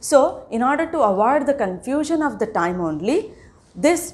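At a fairly quick pace, a woman with an Indian accent speaks with very wide pitch swings. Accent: Indian English (Telugu). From India, Telangana. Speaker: school teacher. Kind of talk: lecture. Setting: recorded online class. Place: classroom.

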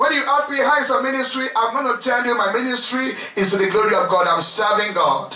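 A man speaks fairly quickly in a raised, projected, animated voice with ordinary pitch variation and audible room echo. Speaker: preacher leading a retreat. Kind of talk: sermon, fervent preaching with prayer. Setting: retreat with congregation. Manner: animated, impassioned, exhorting the crowd with repeated calls. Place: home room.

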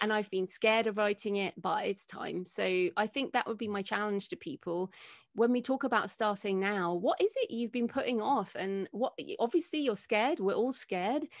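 Lively intonation from a woman with an English accent and a fairly high pitch, against a quiet background. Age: 40s. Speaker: author and podcaster; podcaster. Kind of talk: interview. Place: home room. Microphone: studio mic.

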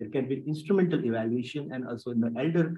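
The speech moves at a fairly quick pace with ordinary pitch variation over a quiet background. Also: man. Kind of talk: lecture. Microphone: webcam.

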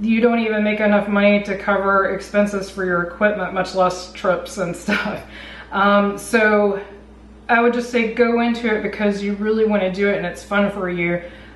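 The room echo is audible and the intonation stays flat and monotone. The pace is moderate. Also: woman. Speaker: vlogger. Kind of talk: casual vlog advice talk. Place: home room.

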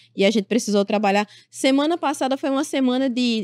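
Her voice high and her intonation lively, a woman speaks in a dry sound with no echo against a quiet background. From Paraíba, Brazil (Sapé); Paraíba, Brazil. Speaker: political journalist, correspondent; journalist guest. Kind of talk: interview. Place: studio. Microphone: studio mic.

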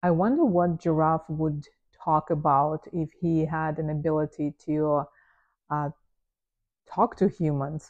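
With a non-native accent and a very deep, low pitch, a woman speaks in a relaxed tone at a fairly slow pace, leaving long, frequent pauses against a quiet background. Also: fairly even intonation. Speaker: photographer. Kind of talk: unscripted casual talk to camera. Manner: relaxed, with filler words and pauses. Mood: relaxed, amused. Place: home room. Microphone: lapel.

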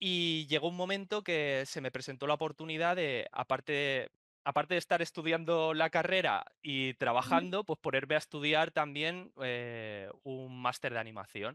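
Against a quiet background, a man talks at a moderate pace with hardly any pauses and ordinary pitch variation, the sound dry with no echo. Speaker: remote podcast guest. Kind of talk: interview answer. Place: home room. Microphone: video call.

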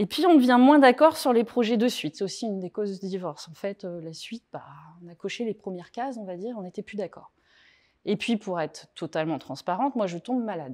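A woman's fairly quick speech with very wide pitch swings and big swings in loudness, over a quiet background. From France, Touraine; France. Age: 40s. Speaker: author and divorce coach; speaker. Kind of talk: talk to a small live audience. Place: meeting room.

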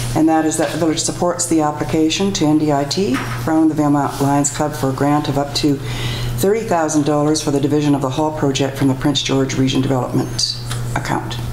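Over music in the background, a woman speaks in a very deep, low pitch with fairly even intonation and very even loudness, and room echo is audible. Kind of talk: formal meeting procedure. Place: meeting room. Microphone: podium.

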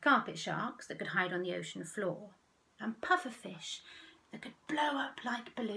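Lively intonation in a plain read-aloud delivery

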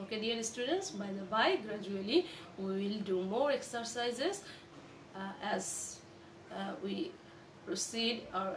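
A woman at a fairly slow pace against noticeable background noise. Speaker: college lecturer. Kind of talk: lecture. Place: home room. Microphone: phone near.

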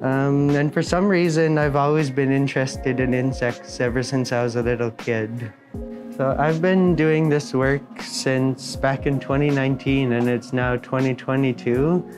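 With clear music in the background, a man speaks at a fairly slow pace, with fairly even intonation and very even loudness. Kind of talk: interview answer. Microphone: lapel.

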